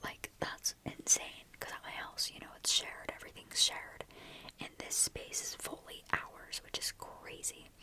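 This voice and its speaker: Whispering at a moderate pace, a woman's loudness swings widely against noticeable background noise. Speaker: ASMR creator. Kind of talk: ASMR whispered ramble. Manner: whispered, soft.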